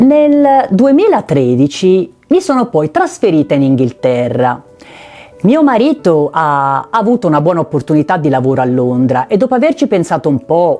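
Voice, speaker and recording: A woman with a Tuscan accent at a moderate pace, fairly low in pitch, with very wide pitch swings and very even loudness. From Italy, Tuscany (Pietrasanta, Versilia). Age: 50s. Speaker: travel and lifestyle vlogger. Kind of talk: personal narration to camera.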